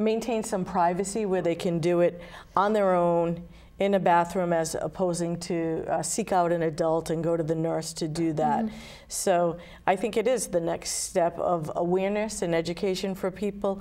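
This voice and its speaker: Her fairly low pitch and dark, mellow tone hold a fairly even intonation as this woman speaks at a moderate pace. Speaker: guest. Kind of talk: interview answer. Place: studio. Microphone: lapel.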